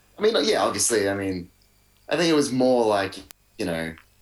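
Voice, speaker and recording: Someone speaks with an Australian accent at a fairly quick pace. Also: man. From Melbourne, Australia. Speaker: musician. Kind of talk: casual chat. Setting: video call.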